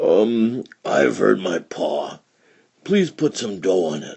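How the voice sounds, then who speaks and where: This put-on character voice is raspy and low in pitch. It moves at a very slow pace. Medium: read story. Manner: sly, wheedling.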